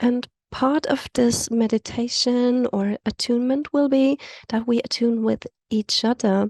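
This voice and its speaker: A woman with a South African accent, high in pitch, at a fairly slow pace and very even loudness. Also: fairly even intonation, dry, close sound with no echo. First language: Afrikaans. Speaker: community call facilitator. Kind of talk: guided meditation; event introduction. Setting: video call.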